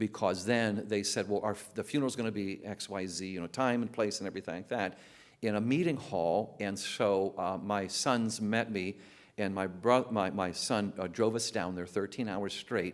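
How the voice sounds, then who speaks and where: A man talks at a moderate pace in an ordinary speaking voice, fairly low in pitch with fairly even intonation. The recording is very clean, with a silent background. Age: 60s. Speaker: teacher and former pastor. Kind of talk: testimony.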